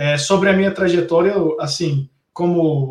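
At a fairly slow pace, a man talks in a plain, everyday voice with fairly even intonation. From Belo Horizonte, Brazil. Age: young. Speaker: technology executive. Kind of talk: online talk on digital transformation.

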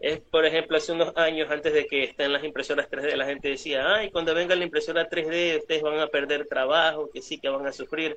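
A man's plain, everyday voice, fairly high in pitch. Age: 30s. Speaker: prop maker. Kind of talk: casual interview chat.

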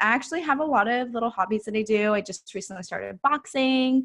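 A normal speaking voice from a woman, fairly high in pitch, fairly quick, with ordinary pitch variation and a quiet background. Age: 20s. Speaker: online health and mindset coach, retired bikini pro. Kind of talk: casual interview.

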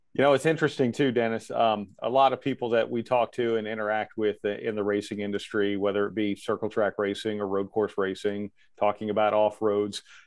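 In a normal speaking voice, a man with a fairly low pitch talks at a fairly quick pace with fairly even intonation and hardly any pauses. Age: 50s. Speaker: event host and interviewer. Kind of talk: interview.

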